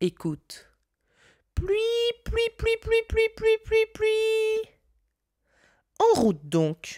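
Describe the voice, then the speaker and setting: A squeaky put-on character voice at an extremely high pitch moves at a very slow pace, with long, frequent pauses. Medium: read story. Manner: mocking.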